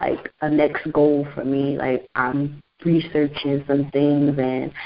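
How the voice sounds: Speaking slowly, a woman keeps a low pitch with little pitch movement.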